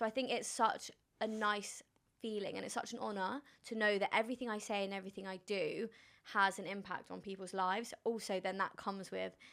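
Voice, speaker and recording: A woman with a British accent speaks at a fairly quick pace, her medium-pitched voice keeping a fairly even intonation. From London, England. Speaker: influencer and entrepreneur.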